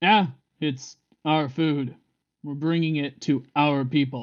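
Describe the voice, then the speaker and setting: The voice is a put-on character voice. Its pitch sits low-to-middle. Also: fairly slow pace. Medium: actual play.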